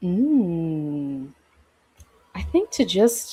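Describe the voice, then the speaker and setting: This woman talks in a fairly low pitch. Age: 30s. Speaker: healing practitioner. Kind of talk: casual chat.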